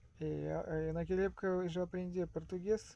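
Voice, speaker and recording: The speaker is a man with a Russian accent. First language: Russian (speaking Portuguese). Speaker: vlogger. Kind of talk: casual monologue. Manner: halting.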